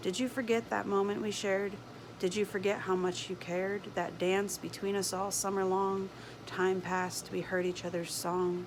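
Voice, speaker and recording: Against noticeable background noise, a woman with a medium pitch talks at a moderate pace in a monotone, flat intonation with very even loudness. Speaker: homesteader. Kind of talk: spoken word poetry. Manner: impassioned.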